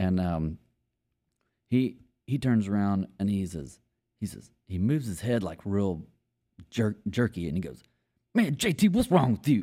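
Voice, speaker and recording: Lively intonation in a Texan accent with a dark, mellow tone, a moderate pace and long, frequent pauses, on a very clean recording with a silent background. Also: man, fairly low pitch for a man. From East Texas, Longview. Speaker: country musician, former bartender. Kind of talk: casual storytelling chat.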